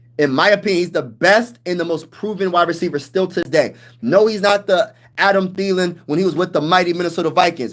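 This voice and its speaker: Loud and animated, a man with an American accent talks at a very fast pace in a high voice, his pitch varying in an ordinary way. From Pennsylvania, US. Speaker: sports YouTuber, military veteran. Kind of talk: live stream chat.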